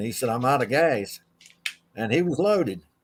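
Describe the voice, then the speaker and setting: A man with an Appalachian accent, at a moderate pace and with lively intonation. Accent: US Southern (Appalachian North Carolina). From North Carolina. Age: 70s. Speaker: retired racing official. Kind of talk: interview. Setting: video call.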